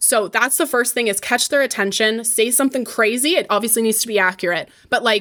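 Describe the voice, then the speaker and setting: Lively intonation and a bright, sharp tone come through on a very clean recording with a silent background. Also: woman. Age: 20s. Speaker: personal finance entrepreneur. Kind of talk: interview.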